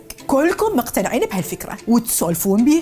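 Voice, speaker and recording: Music plays in the background. A woman with an Iraqi accent speaks with very wide pitch swings. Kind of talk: satirical commentary voiceover. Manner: humorous, lively.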